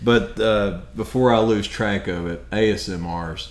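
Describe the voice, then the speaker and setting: Amid audible room echo, a man with a fairly low pitch speaks at a fairly slow pace. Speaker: podcast co-host. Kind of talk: casual chat.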